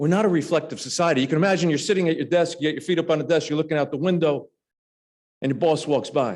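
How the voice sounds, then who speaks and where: Speaking with an American accent, a man keeps his pitch fairly high. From New Jersey. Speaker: former referee and state trooper. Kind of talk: speech. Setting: lunch club meeting, audience. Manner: conversational, humorous asides.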